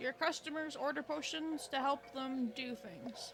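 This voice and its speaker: With clear background noise, a woman does a put-on character voice at a high pitch and a moderate pace. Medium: game stream. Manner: sly, theatrical.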